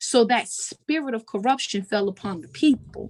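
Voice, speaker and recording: Somewhat breathy, a woman with an American accent speaks with ordinary pitch variation. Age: 20s. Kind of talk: interview. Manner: animated.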